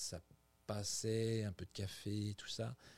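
Medium-pitched male speech, very cleanly recorded against a silent background. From France, Burgundy. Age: 50s. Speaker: executive chef. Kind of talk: interview. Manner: halting, many repetitions.

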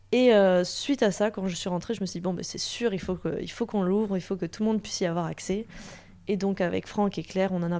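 A woman with a normal speaking voice talks at a medium pitch and a fairly quick pace, her intonation fairly even. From southern France, Toulouse. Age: 20s. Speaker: animal osteopathy student. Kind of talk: interview conversation. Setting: host's home.

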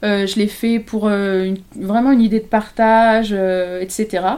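In a fairly high pitch, a woman speaks with a dark, mellow tone. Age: 30s. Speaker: photographer. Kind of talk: casual chat. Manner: halting.

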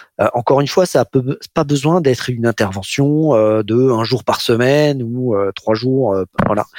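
A man speaks at medium pitch and a fairly slow pace, with ordinary pitch variation. The sound is dry and close with no echo, on a very clean recording with a silent background. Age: 40s. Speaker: part-time CFO and chartered accountant. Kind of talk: interview. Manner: hesitant, many fillers and repetitions.

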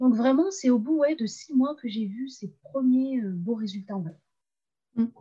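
A woman's high-pitched voice, dark and mellow in tone, with lively intonation, big swings in loudness and a fairly slow pace. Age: 20s. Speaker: freelance web writer and LinkedIn coach. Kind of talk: casual interview.

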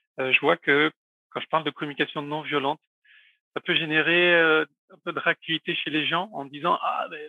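A man's voice at a fairly quick pace, with fairly even intonation. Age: 40s. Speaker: communication trainer. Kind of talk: interview conversation. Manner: hesitant, with many fillers.

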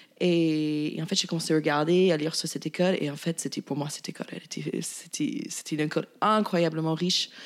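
A woman with an English accent speaks at a fairly quick pace. Her fairly low voice keeps a fairly even intonation. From US, Virginia (rural). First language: English (speaking French). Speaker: chef and caterer. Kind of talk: casual interview.

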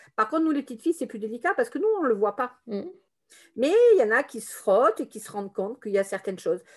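A woman's fairly high voice at a very fast clip, with lively intonation, big jumps in loudness and a quiet background. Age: 50s. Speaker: therapist. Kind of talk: testimony. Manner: halting.

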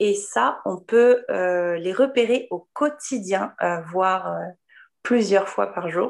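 A woman at medium pitch, lively intonation, very slow pace. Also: quiet background. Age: 30s. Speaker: holistic therapist. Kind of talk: casual interview.

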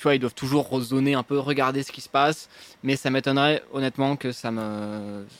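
A man with an unremarkable speaking voice talks at a medium pitch and a fairly quick pace. His intonation is fairly even, but his loudness swings widely. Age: 20s. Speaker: urban climber. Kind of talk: casual interview. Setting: restaurant, live stream.

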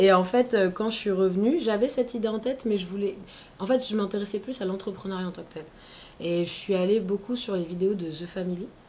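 A woman speaks in a normal speaking voice at a fairly quick pace and medium pitch, with ordinary pitch variation and big swings in loudness. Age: 20s. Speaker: entrepreneur, training company founder. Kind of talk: interview.

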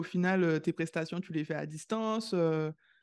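Her pitch varying in an ordinary way, a woman speaks at a moderate pace with a quiet background. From Caribbean. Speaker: podcast host, scientist. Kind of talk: interview. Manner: enthusiastic.

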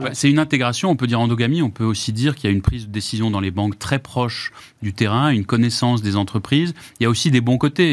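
A man with a medium-pitched voice talks very fast, his pitch varying in an ordinary way, on a very clean recording with a silent background. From Germany. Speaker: former minister, lawyer. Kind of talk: panel discussion.

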